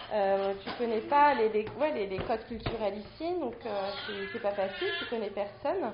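A woman with a fairly high voice and lively intonation speaks at a fairly slow pace, with audible room echo and noticeable background noise. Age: 30s. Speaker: stay-at-home mother. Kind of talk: casual chat. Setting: studio.

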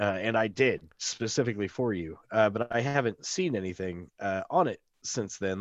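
Against a quiet background, a man uses a normal speaking voice at a fairly low pitch with ordinary pitch variation. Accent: American. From Missouri Ozarks. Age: 40s. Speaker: podcast co-host. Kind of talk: casual chat.

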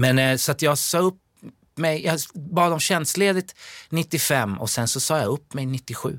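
A man's fairly high voice with ordinary pitch variation at a very slow pace, in a very clean recording with a silent background. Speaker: dancer and musical performer. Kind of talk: casual interview.

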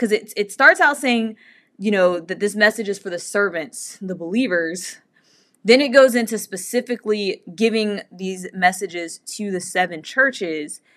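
In a plain, everyday voice, a woman speaks at medium pitch and a fairly slow pace, with ordinary pitch variation over a quiet background. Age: 30s. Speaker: bible podcast host. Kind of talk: bible study talk. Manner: casual, many fillers.

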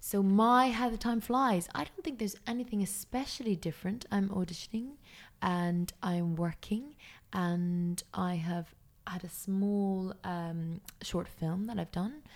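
A woman with an Irish accent speaks at a fairly slow pace, her pitch rising and falling an ordinary amount. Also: medium pitch for a woman. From Ireland. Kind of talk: casual chat.

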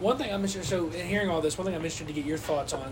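Music in the background behind a man's voice, its pitch varying in an ordinary way. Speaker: podcast host. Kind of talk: interview.

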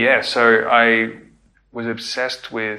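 A man speaks with an Australian accent. His tone is bright and sharp. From Melbourne, Australia. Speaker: record label founder. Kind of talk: interview conversation.

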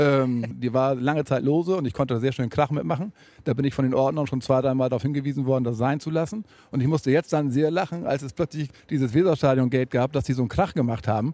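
A man talks at a very fast pace with a dark, mellow tone. His pitch varies in an ordinary way, and the recording is very clean with a silent background. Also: medium pitch for a man. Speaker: football fan. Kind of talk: interview. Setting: empty football stadium.

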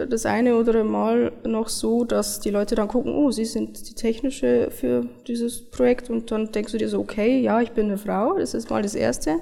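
Speech at a moderate pace with hardly any pauses, over noticeable background noise. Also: woman. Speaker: software developer. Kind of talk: interview.

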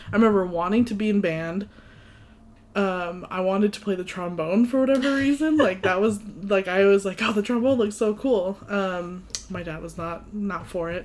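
A woman speaks with an American accent at a medium pitch and a moderate pace. She has an unremarkable speaking voice with ordinary pitch variation. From US, New England. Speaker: podcast co-host. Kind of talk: casual chat.

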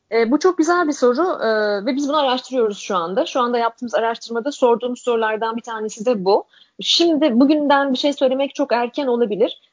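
A woman talks at a very fast pace. Her pitch is high, with ordinary variation. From Turkey. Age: 40s. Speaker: generational researcher and author. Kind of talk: interview.

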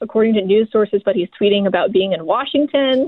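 A woman with a normal speaking voice talks at a fairly high pitch with ordinary pitch variation. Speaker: fact check reporter. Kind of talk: interview. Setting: phone call. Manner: laughs often.

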